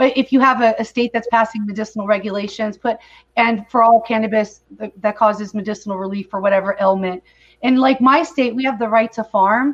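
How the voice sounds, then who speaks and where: A woman talks at a fairly quick pace with a fairly high pitch. It is an ordinary speaking voice with fairly even intonation. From California. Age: 40s. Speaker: cannabis advocate. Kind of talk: video call interview.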